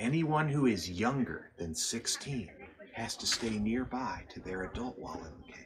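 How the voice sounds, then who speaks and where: A man talks fairly slowly with lively intonation, and noticeable noise can be heard in the background. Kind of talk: safety briefing to tour group. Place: open country. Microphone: camera far.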